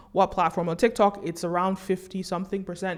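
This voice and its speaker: Speaking at a very fast pace, a woman with an American accent has an animated tone. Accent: American accent, noted by viewers. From US, New York City. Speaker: commentator, documentary maker. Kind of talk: monologue vlog commentary.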